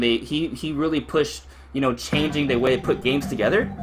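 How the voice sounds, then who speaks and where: A man's fairly high voice at a very fast pace with ordinary pitch variation. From Miami, Florida. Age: 20s. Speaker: gaming YouTuber. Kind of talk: live stream Q&A. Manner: casual, hesitant with fillers.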